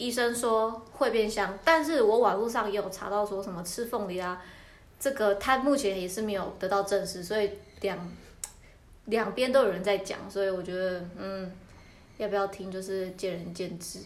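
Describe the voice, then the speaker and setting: A woman speaks at a medium pitch with ordinary pitch variation. Room echo is audible. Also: moderate pace. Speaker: podcast co-host. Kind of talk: casual chat; news reading. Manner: halting.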